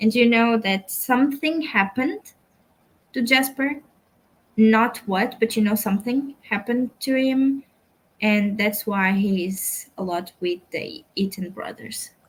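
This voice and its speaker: Somewhat breathy, this voice carries a Portuguese accent at a fairly slow pace. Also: woman, fairly high pitch for a woman, ordinary pitch variation. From Portugal. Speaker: book youtuber. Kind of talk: casual chat.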